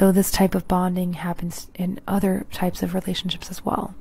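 In a dry recording with no echo, a woman speaks fairly quickly in a somewhat breathy voice with monotone, flat intonation. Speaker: true crime narrator. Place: home room. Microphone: handheld.

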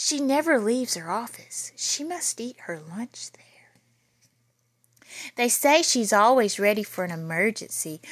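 A woman speaks at a fairly slow pace with lively intonation, a fairly bright tone and medium pitch.

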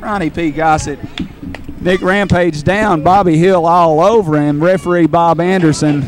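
An animated, high-pitched man's voice over noticeable background noise. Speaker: wrestling commentator and ring announcer. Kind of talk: live wrestling commentary. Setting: wrestling arena, live event. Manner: animated, fast play-by-play calling of moves; good-natured banter with a heel co-commentator.

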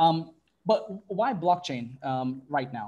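A man's fairly high voice sounds dark, mellow and somewhat breathy, with ordinary pitch variation. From Fiji and Tuvalu; Fiji. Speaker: tech consultancy director; webinar panelist. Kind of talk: panel presentation. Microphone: earbuds.

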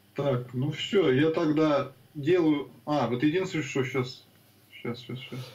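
A man talks at a fairly slow pace in a plain, everyday voice, fairly high in pitch with ordinary variation. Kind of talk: casual chat. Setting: video call.

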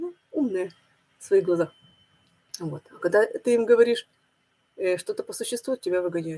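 The speaker moves at a moderate pace. The intonation is lively. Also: woman. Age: 50s. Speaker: religious video blogger. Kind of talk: monologue sermon-like video blog. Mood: thoughtful, upset. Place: home room. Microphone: webcam.

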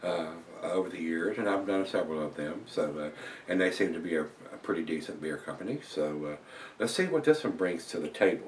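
His pitch very deep and low, a man speaks at a fairly quick pace with ordinary pitch variation over light background noise. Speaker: beer reviewer. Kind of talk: casual vlog chat. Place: home room. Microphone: camera far.

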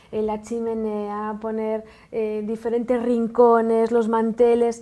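This woman's voice sits fairly high. Her tone is dark and mellow. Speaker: makeup artist; TV guest. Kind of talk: casual chat. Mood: relaxed, cheerful, smiling. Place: studio. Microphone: lapel.

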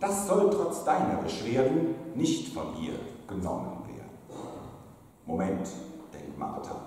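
In a playful, sing-song way, a man speaks at a very slow pace amid strong room echo and light background noise. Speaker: pastor. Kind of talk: carnival sermon in rhymed couplets (Büttenrede style). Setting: church pulpit. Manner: playful, rhythmic sing-song rhyming delivery with comic timing; jovial, teasing, lively. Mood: humorous, playful. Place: church.

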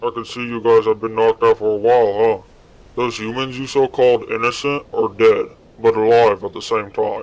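Using a put-on character voice, a man performs. He moves at a fairly quick pace. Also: medium pitch for a man. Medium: machinima. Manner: calm, explanatory.

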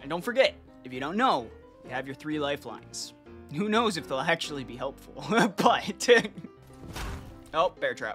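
A man with a fairly high pitch talks at a moderate pace, his pitch swinging very widely and his loudness shifting a lot. Long, frequent pauses break up his speech, with music playing in the background. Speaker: gaming streamer. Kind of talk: casual gaming chat with quiz-show hosting.

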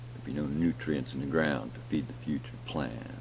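A man with an American accent speaks in a very deep, low pitch over light background noise. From rural Southern US. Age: old. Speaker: home vlogger. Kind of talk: casual talk to camera. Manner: rambling, thoughtful. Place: home room. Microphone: webcam.

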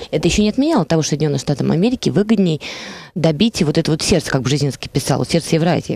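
A woman's very deep, low voice, dark and mellow in tone, with lively intonation, a very fast pace, very even loudness and a dry sound with no echo. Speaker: radio talk show guest. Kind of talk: radio interview. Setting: studio. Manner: formal. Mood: thoughtful, analytical. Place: studio. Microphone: headset.

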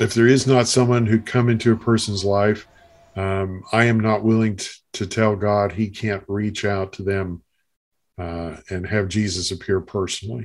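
With a plain, everyday voice, a man speaks at a moderate pace and a fairly low pitch, using fairly even intonation on a very clean recording with a silent background. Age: 50s. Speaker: Bible college teacher and apologist. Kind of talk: casual conversation.

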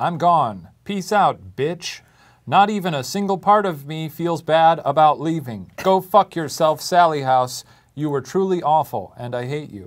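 Over a quiet background, a man uses a normal speaking voice. He speaks fairly slowly, at a fairly high pitch, with lively intonation. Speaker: web series host. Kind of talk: reading a written farewell note aloud. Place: studio. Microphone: lapel.

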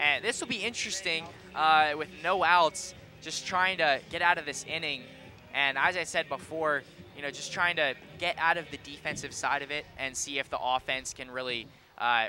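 Noticeable background noise sits behind the speaker. The delivery is moderate in pace, with ordinary pitch variation. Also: man. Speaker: color commentator, former player. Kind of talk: live sports commentary. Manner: casual, conversational, hesitant with filler ums.

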